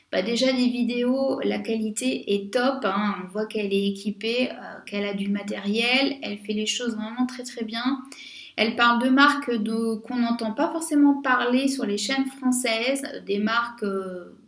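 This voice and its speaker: Noticeable background noise sits behind a speaker with a French accent. The pace is fairly slow and the intonation fairly even. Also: woman, fairly high pitch for a woman. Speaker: beauty youtuber. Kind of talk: casual vlog monologue. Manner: hesitant, many fillers.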